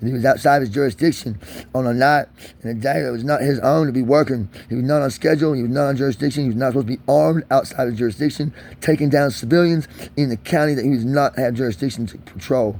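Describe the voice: Talking at a fast pace, a man has a slightly mellow tone and ordinary pitch variation. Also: medium pitch for a man.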